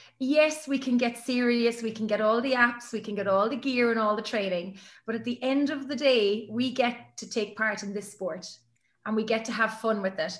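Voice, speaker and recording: With an Irish accent, a woman talks at a moderate pace and a fairly high pitch, using ordinary pitch variation. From Ireland. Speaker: sports announcer. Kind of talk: interview answer.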